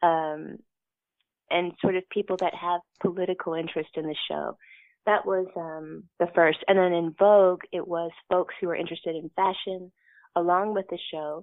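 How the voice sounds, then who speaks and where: Here a woman with an American accent talks at a moderate pace. Her fairly low pitch stays monotone, with flat intonation. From Kentucky, US. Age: 50s. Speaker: costume designer. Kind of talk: interview.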